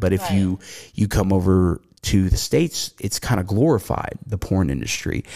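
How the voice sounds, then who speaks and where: In an American accent, a man with a very deep, low pitch and vocal fry speaks at a moderate pace. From US South. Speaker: podcast host. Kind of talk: casual chat, profane banter.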